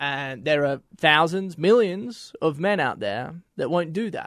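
Over a quiet background, a man with an Australian accent talks at a fairly high pitch with lively intonation. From Australia, Melbourne. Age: 20s. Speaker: former American football player. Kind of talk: casual chat.

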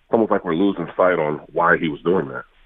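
This man's pitch is very deep and low. He talks at a very fast pace. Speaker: former NFL player. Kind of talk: casual sports interview.

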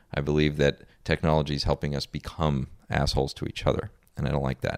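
A man speaks at a fairly quick pace in a very deep, low pitch with vocal fry. His intonation is fairly even, and the sound is dry and close with no echo. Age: 30s. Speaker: entrepreneur. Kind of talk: interview. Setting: host's home.

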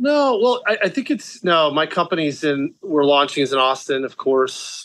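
A man with an American accent at a moderate pace, with ordinary pitch variation. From South Florida, US. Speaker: beverage entrepreneur. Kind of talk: interview conversation.

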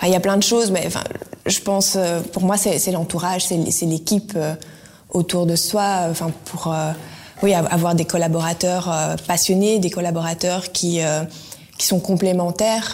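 A woman speaks in a fairly low, flat monotone at a fairly slow pace, with long pauses coming often. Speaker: former sprinter, clothing entrepreneur. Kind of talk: interview.

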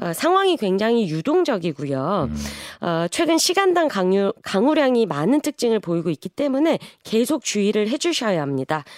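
The speech moves at a moderate pace with very wide pitch swings. The sound is dry and close with no echo, yet noticeable background noise is present. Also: woman, fairly high pitch for a woman. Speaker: newspaper reporter. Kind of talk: news report segment.

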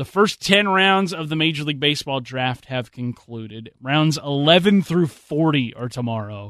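With a plain, everyday voice, a man speaks at a moderate pace with hardly any pauses, his fairly high pitch carried by lively intonation over a quiet background. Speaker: radio sports host. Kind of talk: live sports radio show patter, bantering with co-host and teasing upcoming segments. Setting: radio studio.

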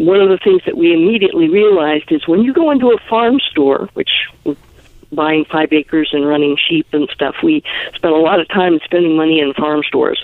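With an unremarkable speaking voice, a woman talks at a moderate pace, her pitch fairly low and her pitch variation ordinary. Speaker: LGBT activist and sheep farmer. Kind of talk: interview. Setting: phone call.

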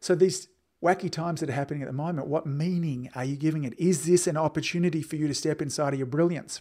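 A man with an Australian accent, fairly high-pitched yet dark and mellow in tone, with ordinary pitch variation at a very fast pace, on a very clean recording with a silent background. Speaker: podcast host and chiropractic business coach. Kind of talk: solo podcast monologue.

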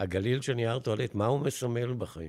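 On a very clean recording with a silent background, a man speaks in an unremarkable speaking voice, medium in pitch, with lively intonation. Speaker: retired advertising executive. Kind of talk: interview storytelling.

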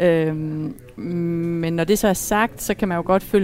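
A woman's fairly low voice, a normal speaking voice with fairly even intonation. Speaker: widow. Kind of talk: casual chat. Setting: restaurant.

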